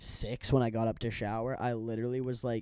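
A man speaks in a medium-pitched voice with a dark, mellow tone. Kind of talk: casual chat. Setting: outdoors. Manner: casual, laid-back.

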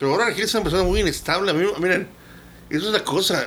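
A man with a bright, sharp tone talks with ordinary pitch variation. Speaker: podcast co-host. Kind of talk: casual chat.

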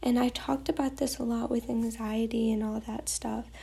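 Speaking at a fairly slow pace, a woman uses a fairly high, somewhat breathy voice. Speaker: podcast host. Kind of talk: faith-based devotional talk. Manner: casual, many fillers.

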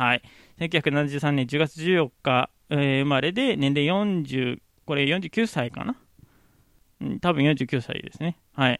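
This man's delivery is very slow. Long pauses come frequently between his words. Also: fairly high pitch for a man, ordinary pitch variation. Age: 30s. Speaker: podcaster. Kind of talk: casual solo podcast talk. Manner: casual, frequent laughs.

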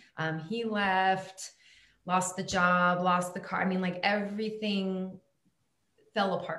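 Very slowly and with long, frequent pauses, a woman of medium pitch speaks in a monotone, flat intonation amid audible room echo. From Germany. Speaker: coach in recovery from alcoholism. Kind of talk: casual interview chat.

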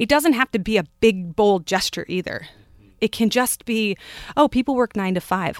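Using a normal speaking voice, a woman talks at a moderate pace with lively intonation and a fairly high pitch, recorded very cleanly against a silent background with a dry, close sound and no echo. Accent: American. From California, Bay Area. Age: 30s. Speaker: writer and podcast host. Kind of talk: casual chat.

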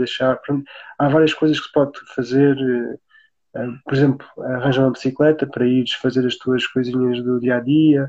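A man speaks with a dark, mellow tone at a medium pitch. His intonation is monotone and flat, and his pace is moderate. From Portugal, Alentejo (Beja). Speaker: sustainable tiny-house builder. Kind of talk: live-stream interview.

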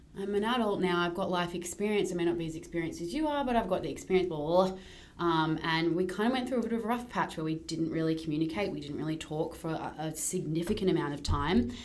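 A woman with a fairly low voice talks at a very fast pace, with ordinary pitch variation, hardly any pauses and noticeable background noise. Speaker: podcast co-host. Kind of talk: casual chat. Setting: rented content studio. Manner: loud.

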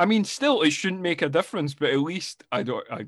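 A man with a Scottish accent at a moderate pace. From Scotland. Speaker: film review podcaster. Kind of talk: casual chat.

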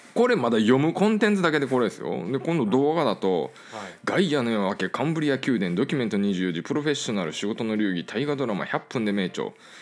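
A man with a medium pitch talks in an animated tone at a very fast pace, with hardly any pauses and very wide pitch swings. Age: 30s. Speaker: podcast host, wine business owner. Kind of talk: casual chat.

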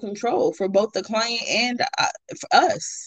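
A woman's fairly high-pitched voice, a plain, everyday voice, at a fairly slow pace. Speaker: podcast host. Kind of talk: casual chat. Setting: separate remote recording.

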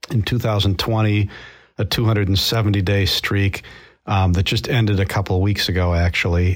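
A man's somewhat breathy, fairly low voice at a fairly quick pace, with ordinary pitch variation, on a very clean recording with a silent background. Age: 50s. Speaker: runner and business leader. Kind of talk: interview.

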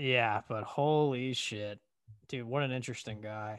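Over a quiet background, a man talks at a fairly slow pace in a normal speaking voice with ordinary pitch variation. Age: 30s. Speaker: podcast co-host. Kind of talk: casual chat.

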